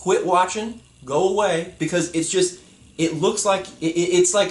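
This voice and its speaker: Shouting in a loud, animated tone, a man with a high-pitched voice speaks at a fairly slow pace over noticeable background noise. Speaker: YouTuber. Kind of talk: vlog rant. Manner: loud, yelling. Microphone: poor audio quality.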